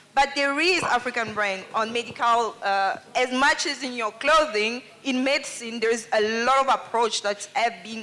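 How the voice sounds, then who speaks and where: Noticeable background noise sits behind a woman with a fairly high pitch. She keeps a moderate pace and ordinary pitch variation. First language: French. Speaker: audience member speaking at a festival panel. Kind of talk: public Q&A contribution.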